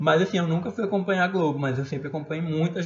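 Music plays in the background as a man speaks. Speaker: podcast co-host. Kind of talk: casual chat.

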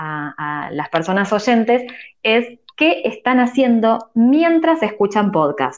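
A woman with an Argentine accent speaks at a fairly slow pace. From Argentina. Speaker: journalist. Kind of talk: casual chat. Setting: audio chat room online.

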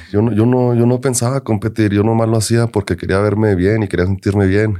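At a moderate pace, a man with an ordinary speaking voice and a medium pitch comes through in a very clean recording, the background silent. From Denver, Colorado, US, Mexican-American family. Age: 20s. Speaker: men's physique bodybuilder. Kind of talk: casual chat.

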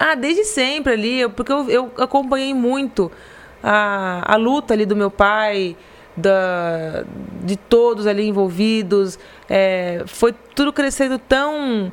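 At a very slow pace, a woman speaks at a fairly high pitch. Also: ordinary pitch variation. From Brazil, Garça (São Paulo state interior). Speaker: marketing director of family company. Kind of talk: casual interview. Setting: live podcast studio. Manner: halting, repeats words.

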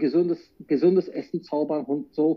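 A man with a fairly high pitch. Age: 40s. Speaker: chef. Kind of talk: interview. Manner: halting.

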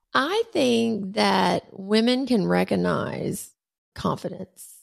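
On a very clean recording with a silent background, a woman speaks with a Southern US accent. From US South, Alabama. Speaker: podcast host. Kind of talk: casual interview.

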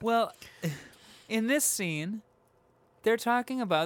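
On a very clean recording with a silent background, a man with an extremely high pitch for a man talks at a fairly slow pace with lively intonation. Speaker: podcast host. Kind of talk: casual chat. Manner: loud.

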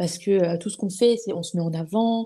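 Recorded very cleanly over a silent background, a woman speaks at a moderate pace with ordinary pitch variation. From eastern France (Épinal, Vosges). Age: 20s. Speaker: podcaster. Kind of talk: casual interview conversation. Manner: hesitant, many fillers and repetitions.

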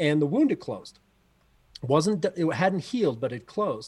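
With lively intonation and a plain, everyday voice, a man speaks at a moderate pace. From Canada. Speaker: athletics coach. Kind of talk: casual chat.

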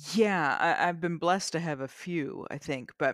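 A woman with a Canadian accent has an ordinary speaking voice, a fairly low pitch, ordinary pitch variation and a moderate pace. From rural eastern Canada. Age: middle-aged. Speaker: novelist. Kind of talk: interview. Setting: studio.

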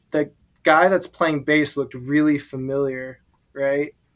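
A man's fairly high voice in an American accent, an unremarkable speaking voice with fairly even intonation. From Alexandria, Virginia, near DC. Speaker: drummer in a band. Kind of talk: casual chat. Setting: gym at his workplace.

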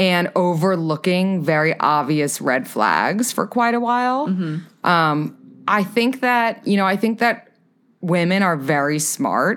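A woman with an American accent and an ordinary speaking voice, at a fairly slow pace with lively intonation and very even loudness, in a very clean recording with a silent background. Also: medium pitch for a woman. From New York City. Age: 20s. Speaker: podcaster and dating advisor. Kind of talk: casual chat.

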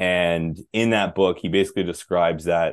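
Here a man speaks in a relaxed tone. His pitch is very deep and low, with ordinary pitch variation. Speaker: health and energy coach. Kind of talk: casual interview conversation. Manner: relaxed, conversational, uses 'man' and 'dude' often.

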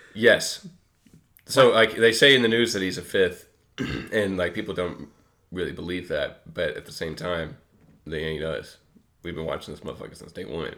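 In a Kentucky accent, a man with a very deep, low pitch and a bright, sharp tone shows ordinary pitch variation, big swings in loudness, and long, frequent pauses. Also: moderate pace. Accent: Kentucky Southern US. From Western Kentucky, US. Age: 20s. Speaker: podcast co-host. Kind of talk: casual chat.

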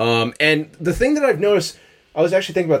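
This man's voice has vocal fry. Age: 30s. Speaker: podcast host. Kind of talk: casual chat.

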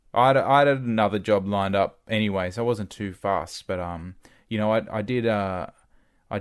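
In an Australian accent, a man speaks at a moderate pace with fairly low pitch and ordinary pitch variation, captured on a very clean recording with a silent background. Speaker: former radio broadcaster. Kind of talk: casual interview. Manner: halting.

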